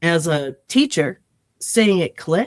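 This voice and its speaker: The woman's voice is fairly low in pitch, with lively intonation. Her recording sounds dry and close, without echo. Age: 60s. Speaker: improv comedian and teacher. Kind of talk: casual chat. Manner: animated.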